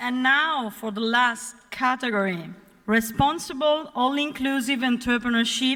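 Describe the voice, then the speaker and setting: In an Italian accent, a woman speaks at a high pitch with ordinary pitch variation. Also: fairly slow pace. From Naples, Italy. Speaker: awards ceremony presenter. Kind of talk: ceremony presenting. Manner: formal.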